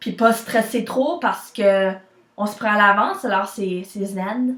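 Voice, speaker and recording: With a Quebec accent, a woman speaks at a very slow pace. Her pitch is fairly high and moves with ordinary variation. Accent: Québécois French. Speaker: vlogger. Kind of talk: personal vlog.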